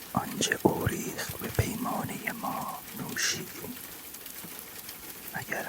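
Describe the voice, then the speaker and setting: The voice whispers at a very slow pace in a gentle tone. Noticeable background noise can be heard. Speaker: ASMR poetry reader. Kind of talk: whispered poetry reading for sleep. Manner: whispered, soft-spoken, gentle.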